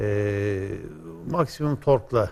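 This man speaks with lively intonation. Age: 60s. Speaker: automotive expert; guest. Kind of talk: explanatory interview. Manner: hesitant with frequent fillers. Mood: calm, explanatory. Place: studio. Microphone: lapel.

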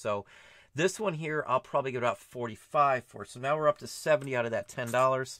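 Recorded dry with no echo in a quiet background, a man with an American accent speaks at a medium pitch in a bright, sharp tone with ordinary pitch variation. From Ohio, US Midwest. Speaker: online reseller. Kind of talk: casual vlog talk to camera. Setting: flea market. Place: home room. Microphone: webcam.

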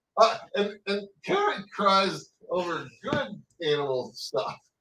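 There is audible room echo as the man talks. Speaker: podcast co-host. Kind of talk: casual chat. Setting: live stream. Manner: joking. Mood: amused, joking. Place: home room. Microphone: webcam.

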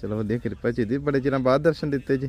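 A very fast pace, ordinary pitch variation and a slightly mellow tone. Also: man, medium pitch for a man.

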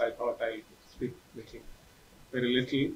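Light background noise sits under a man's speech. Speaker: session moderator. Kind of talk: moderator introduction. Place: meeting room. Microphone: podium.

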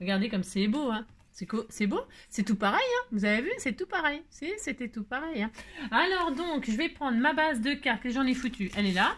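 Animated in tone, a woman speaks at a high pitch with very wide pitch swings. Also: moderate pace. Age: 50s. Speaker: crafting youtuber. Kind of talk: craft tutorial with casual chat. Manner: chatty, animated. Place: home room. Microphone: phone near.

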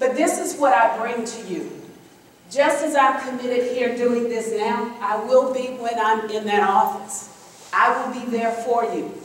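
A woman with a Southern US accent speaks at a fairly slow pace in a high pitch. Her pitch varies in an ordinary way, and room echo is audible. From Florida, Tallahassee area; Florida. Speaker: political candidate; candidate. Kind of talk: campaign speech. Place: hall.

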